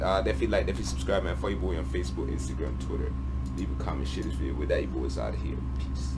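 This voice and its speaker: Over loud background noise, a man talks at a very fast pace. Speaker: gaming video reactor. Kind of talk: casual vlog chat. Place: home room. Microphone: headset.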